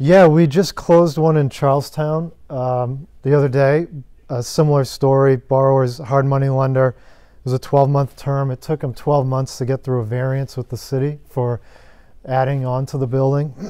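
The man's tone is dark and mellow, with fairly even intonation at a moderate pace. The background is quiet. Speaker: guest. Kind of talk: interview answer. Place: home room.

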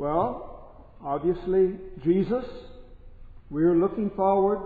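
A man's high-pitched voice with fairly even intonation and audible room echo. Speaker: priest. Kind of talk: sermon. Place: church. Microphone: podium.

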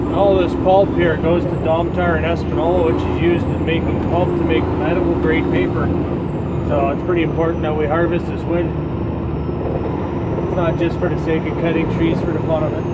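Speech at a moderate pace over loud background noise. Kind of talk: casual vlog chat. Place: car. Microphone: phone near.

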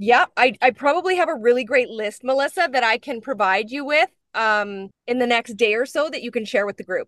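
With a Canadian accent, a woman speaks high-pitched with lively intonation and hardly any pauses, in a dry sound with no echo against a quiet background. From northwestern Ontario, Canada (First Nations). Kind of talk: webinar conversation. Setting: video call. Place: car. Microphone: video call.

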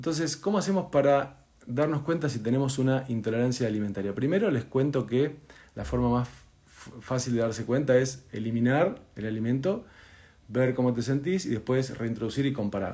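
Moderate tempo, somewhat breathy delivery, and ordinary pitch variation. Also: man, medium pitch for a man. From Argentina. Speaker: doctor. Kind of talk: health explainer video, answering viewer questions. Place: home room. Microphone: phone near.

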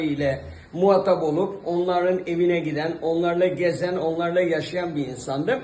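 A man talks at a moderate pace in a high pitch, with audible room echo and noticeable background noise around him. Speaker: actor. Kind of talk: interview. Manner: hesitant with frequent fillers.

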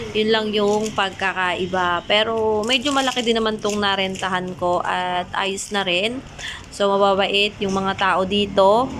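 Over noticeable background noise, a woman talks at a medium pitch and a fairly slow pace with fairly even intonation. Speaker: vlogger and sari-sari store owner. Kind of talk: casual vlog monologue. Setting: market stall.

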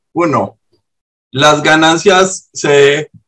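The voice has a Colombian accent and a bright, sharp tone. The background is quiet. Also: man. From Urabá, Colombia. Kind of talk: question in online meeting. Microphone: video call.

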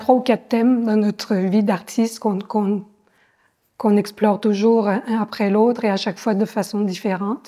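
A woman speaks at a fairly high pitch with a dark, mellow tone and fairly even intonation. Her pace is moderate, and the background is quiet. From France. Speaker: visual artist, ceramist. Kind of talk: interview. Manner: hesitant, with frequent fillers and repetitions. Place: hall. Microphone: lapel.

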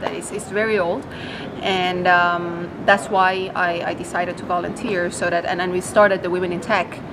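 A woman's fairly low, monotone voice at a moderate pace, with flat intonation and noticeable background noise. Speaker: startup co-founder and CTO. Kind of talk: interview about technology. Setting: expo interview. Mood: warm, enthusiastic. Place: hall.

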